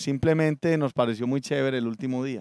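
Dry with no echo, a man's dark, mellow voice carries ordinary pitch variation over a quiet background. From Colombia, Antioquia (Medellín). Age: 40s. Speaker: political candidate and businessman; candidate. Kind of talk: political interview. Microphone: handheld.

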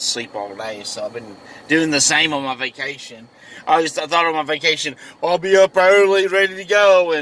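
A man at a moderate pace with big swings in loudness, in a dry sound with no echo. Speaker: vlogger. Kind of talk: casual vlog chat. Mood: relaxed, chatty. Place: car. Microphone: earbuds.

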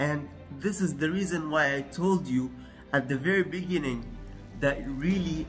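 Faint music plays in the background. A man speaks very slowly in a fairly high pitch with ordinary pitch variation. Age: 20s. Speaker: self-improvement youtuber; presenter. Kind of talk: tutorial. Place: kitchen.

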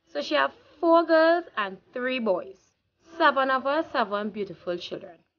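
A woman with a Trinidadian accent talks at a fairly slow pace. Her high voice moves through very wide pitch swings. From Trinidad and Tobago. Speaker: vlogger. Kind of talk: casual vlog monologue. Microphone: phone near.

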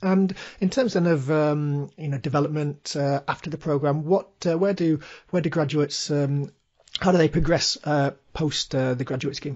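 This man has a fairly high, somewhat breathy voice. He talks at a moderate pace with fairly even intonation. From Birmingham, England. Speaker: podcast host, career coach. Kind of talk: scripted promo; interview.

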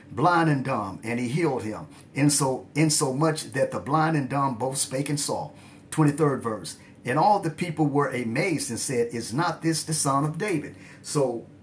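Against light background noise, a man with vocal fry speaks at a moderate pace with ordinary pitch variation. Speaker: religious teacher. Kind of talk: bible study teaching. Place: home room. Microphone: phone near.

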